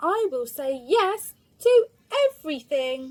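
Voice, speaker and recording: Using a put-on character voice, a woman talks at a fairly slow pace in a high pitch with very wide pitch swings. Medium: read story.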